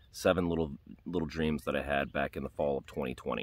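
A man's very deep, low voice with vocal fry, ordinary pitch variation and a fairly quick pace, dry with no echo. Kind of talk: religious testimony monologue. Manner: slightly halting, fillers. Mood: earnest, calm. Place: open country. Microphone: phone near.

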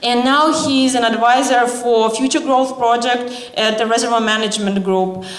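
A woman's high-pitched voice against noticeable background noise. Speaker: event organizer. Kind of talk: formal introduction. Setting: stage with audience.

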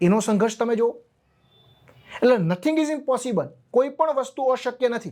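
With lively intonation, a man talks in an extremely high pitch and a dark, mellow tone. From Gujarat, Amreli district village. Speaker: government officer and exam lecturer. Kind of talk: motivational talk.

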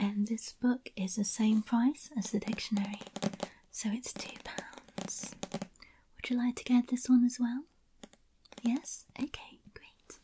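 A soft-spoken woman's gentle tone at a very slow pace, with fairly even intonation over noticeable background noise. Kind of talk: ASMR role-play talk. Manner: soft-spoken, gentle ASMR voice. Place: home room. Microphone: studio mic.

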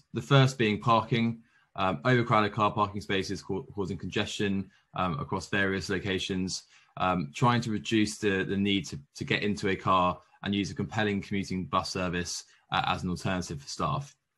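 A man's voice has a bright, sharp tone and ordinary pitch variation. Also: fairly low pitch for a man, moderate pace. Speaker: presenter. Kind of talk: conference presentation. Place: home room. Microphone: webcam.

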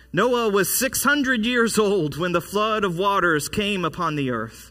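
Against a quiet background, a raised, projected voice rings out with a bright, sharp tone. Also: man. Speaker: pastor. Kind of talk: sermon. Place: church.

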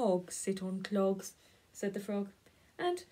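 Reading aloud, done in a natural voice.

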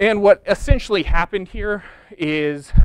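Over a quiet background, a man speaks at a moderate pace with a dry sound and no echo. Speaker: presenter. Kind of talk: lecture. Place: hall. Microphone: lapel.

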